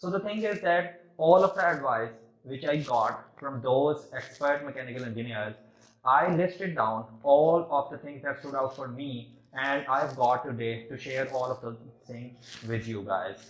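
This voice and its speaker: The speaker has a Pakistani accent. Pitch variation is ordinary. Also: man, medium pitch for a man. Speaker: engineering student. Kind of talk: competition speech. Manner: halting.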